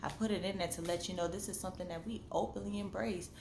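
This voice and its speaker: A woman speaks at a fairly quick pace, with audible room echo and noticeable background noise around her. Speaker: vlogger and novelist. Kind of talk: casual monologue vlog. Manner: animated.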